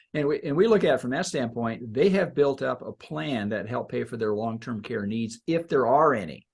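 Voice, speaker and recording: In an ordinary speaking voice, the speaker talks at a fairly quick pace with lively intonation and hardly any pauses. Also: man, medium pitch for a man. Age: 60s. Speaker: financial advisor. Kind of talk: casual chat.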